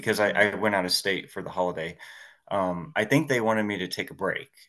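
Against a quiet background, a man speaks in a fairly low voice with ordinary pitch variation. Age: 40s. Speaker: historian, massage therapist and podcaster. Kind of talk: casual interview.

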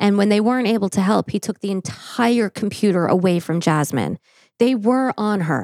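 A woman speaks in a plain, everyday voice at a medium pitch and moderate pace, with ordinary pitch variation. The recording is very clean, with a silent background. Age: 40s. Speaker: true crime podcast host. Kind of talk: case narration. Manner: formal.

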